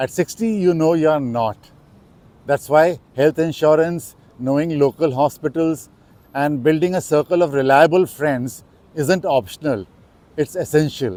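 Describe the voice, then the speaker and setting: In a dry, close sound with no echo, a man with a fairly high pitch and a dark, mellow tone talks at a fairly slow pace with ordinary pitch variation. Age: 60s. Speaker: expat vlogger. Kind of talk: reflective talk to camera.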